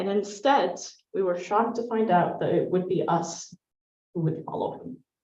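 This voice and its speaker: Amid audible room echo, a woman with an Arabic accent speaks at a moderate pace, her medium pitch showing ordinary variation. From Syria, Damascus. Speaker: poet and public speaker. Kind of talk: personal storytelling talk.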